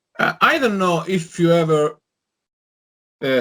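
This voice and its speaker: A man talks in a non-native accent with ordinary pitch variation. His tone is bright and sharp. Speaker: online show host. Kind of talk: interview. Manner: halting.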